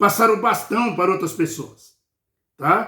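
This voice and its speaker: At a very slow pace, a man with a high pitch speaks in a raised, projected voice that has a bright, sharp tone. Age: 60s. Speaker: lay preacher. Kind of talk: bible study sermon. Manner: informal, repetitive fillers.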